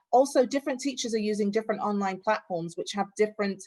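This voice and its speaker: A woman talks at medium pitch with ordinary pitch variation. It is a plain, everyday voice. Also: very clean recording, silent background. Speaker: parent conference presenter. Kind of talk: virtual conference presentation.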